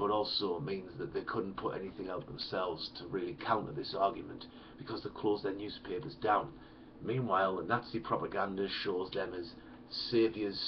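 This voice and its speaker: Noticeable background noise accompanies a man speaking at a moderate speed. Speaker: history teacher. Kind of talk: educational lecture. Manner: casual, hesitant.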